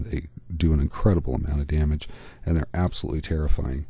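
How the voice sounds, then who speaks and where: A man's very deep, low voice, somewhat breathy, with a dark, mellow tone and an American accent. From US Midwest. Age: middle-aged. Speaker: art YouTuber. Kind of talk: tutorial vlog narration.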